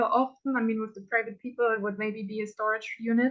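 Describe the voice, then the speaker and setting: A woman talks with fairly high pitch and fairly even intonation. She has a plain, everyday voice. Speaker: auction house owner and auctioneer. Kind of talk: podcast interview answer.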